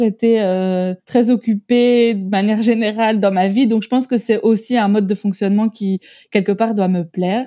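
Against a quiet background, a woman with a fairly high pitch and a dark, mellow tone speaks at a moderate pace with fairly even intonation, her voice dry and close with no echo. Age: 30s. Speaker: hip-hop artist agency founder. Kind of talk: interview. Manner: hesitant, many fillers.

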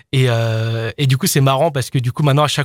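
A man's somewhat breathy voice at medium pitch, with fairly even intonation and a dry, close sound with no echo. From France, Isère (near Lyon). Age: 20s. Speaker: DJ and music producer. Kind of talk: radio interview.

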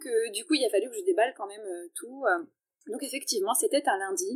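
Her pitch swings very widely as this woman talks. There is no echo, and the sound is dry and close. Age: 30s. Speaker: wellness coach and athlete's partner. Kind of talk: interview. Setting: hotel lobby. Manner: halting.

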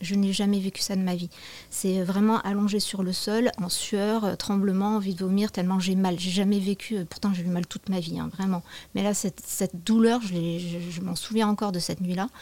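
The voice has a dark, mellow tone and monotone, flat intonation. The recording is very clean, with a silent background. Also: woman, medium pitch for a woman, moderate pace. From southwestern France. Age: 40s. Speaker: yoga teacher. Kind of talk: testimony.

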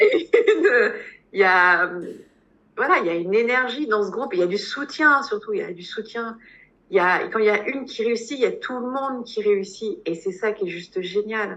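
This woman speaks at a moderate pace, her fairly high voice bright and sharp in tone, with lively intonation. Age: 40s. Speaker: hypnotherapist. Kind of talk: testimony. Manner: halting.

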